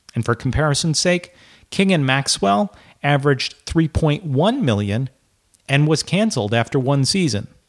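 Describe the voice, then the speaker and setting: Here is a man with an unremarkable speaking voice, fairly high in pitch, with lively intonation at a moderate pace. Loudness stays very even on a very clean recording with a silent background. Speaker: podcast host. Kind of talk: news reading. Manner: crisp, brisk, professional broadcaster delivery; even and matter-of-fact, with light wry humor in the intro.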